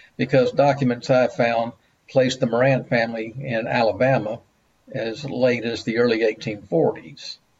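With a Mississippi accent, a man talks at a medium pitch using fairly even intonation. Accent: US Southern (Mississippi). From Jackson, Mississippi. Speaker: local history author. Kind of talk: virtual panel discussion.

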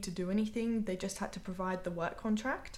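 A woman with a British accent, audible room echo around her voice. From UK. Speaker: immigrant telling her story. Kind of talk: interview.

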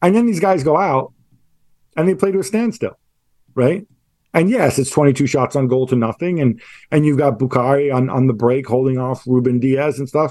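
This man's voice sits fairly high in pitch yet has a dark, mellow tone. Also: lively intonation, moderate pace. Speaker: football journalist. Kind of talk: casual chat. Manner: halting.

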